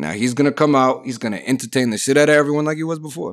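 With an animated tone and lively intonation, a man talks at a very fast pace in a very clean recording with a silent background. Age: 20s. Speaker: podcast host. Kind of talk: casual solo monologue.

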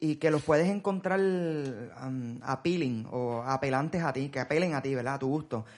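A man with a normal speaking voice talks at a moderate pace, with hardly any pauses. His pitch is fairly high for a man, with ordinary pitch variation. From Puerto Rico. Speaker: podcast host. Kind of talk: casual chat.

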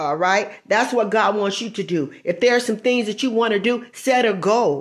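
Talking at a fairly slow pace, a woman uses ordinary pitch variation. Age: 50s. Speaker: evangelist podcaster. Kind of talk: devotional preaching monologue. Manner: halting.

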